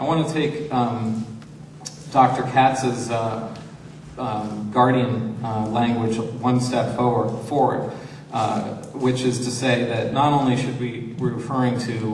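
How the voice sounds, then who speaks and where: At a very slow pace, a man speaks with monotone, flat intonation. Audible room echo and light background noise accompany him. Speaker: panelist. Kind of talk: seminar talk. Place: hall. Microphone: handheld.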